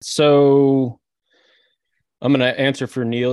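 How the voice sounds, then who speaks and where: Against a quiet background, a man's voice has a dry, close sound with no echo. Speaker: podcast co-host. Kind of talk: comedic debate, casual chat.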